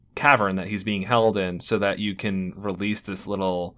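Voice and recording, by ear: Someone reading aloud in a natural voice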